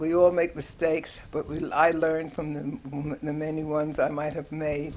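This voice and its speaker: The speaker has a New York accent and a moderate pace. The intonation is monotone and flat. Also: woman. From New York City, Harlem and lower Manhattan. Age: 80s+. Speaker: retired nurse. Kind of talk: personal life story interview. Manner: halting with many fillers and repetitions.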